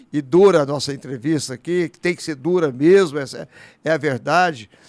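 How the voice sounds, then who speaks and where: A man's fairly high pitch with ordinary pitch variation at a moderate pace. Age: 60s. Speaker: politician. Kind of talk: talk show interview. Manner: animated.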